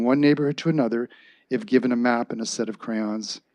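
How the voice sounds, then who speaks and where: A man with an ordinary speaking voice talks at a medium pitch with fairly even intonation. He keeps a fairly quick pace against a quiet background. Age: 60s. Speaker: public delegate at council meeting. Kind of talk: public comment speech. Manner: formal.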